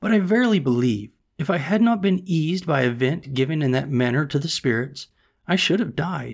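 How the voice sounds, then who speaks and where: A man with a plain, everyday voice, fairly high in pitch, with lively intonation at a fairly quick pace. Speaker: audiobook narrator. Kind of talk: audiobook reading of a classic novel, first-person 18th-century narration. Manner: measured, steady storyteller pace with formal, old-fashioned phrasing.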